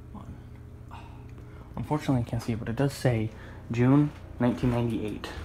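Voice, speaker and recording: Whispering at a fairly quick pace, a man leaves long, frequent pauses, his loudness swinging widely over noticeable background noise. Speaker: elevator enthusiast. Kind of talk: casual talk to camera. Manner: whispered.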